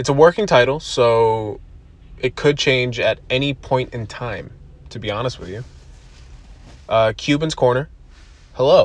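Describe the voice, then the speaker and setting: Somewhat breathy, a man talks at a fairly slow pace, leaving long, frequent pauses, with big swings in loudness. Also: medium pitch for a man, ordinary pitch variation. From US East Coast, from Buffalo, New York. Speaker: podcast host. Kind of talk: casual monologue. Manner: rambling, casual with frequent fillers and laughter.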